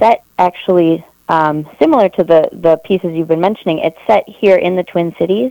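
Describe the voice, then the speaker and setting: The speaker has an American accent, recorded with a dry, close sound and no echo. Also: woman. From Wisconsin, Eau Claire. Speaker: arts administrator. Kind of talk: radio interview.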